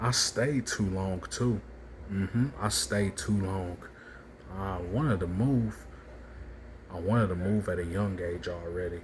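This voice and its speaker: A man speaks in a very deep, low voice, somewhat breathy, with ordinary pitch variation. His pace is fairly slow, broken by long, frequent pauses. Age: 20s. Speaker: vlogger. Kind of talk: personal monologue vlog.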